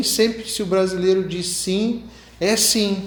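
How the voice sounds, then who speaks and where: Amid noticeable background noise and audible room echo, a man with a high pitch talks at a very slow pace. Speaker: pastor. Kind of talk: sermon.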